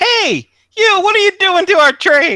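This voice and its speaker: This put-on character voice is shrill and sits at an extremely high pitch. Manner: angry, confronting.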